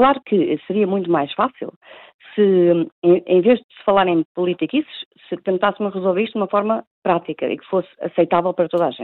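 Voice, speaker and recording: At a fairly quick pace, a woman talks in a medium pitch with ordinary variation. Her loudness swings widely. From Portugal. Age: 40s. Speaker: professional pool player. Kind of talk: phone interview. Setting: phone call. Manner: halting.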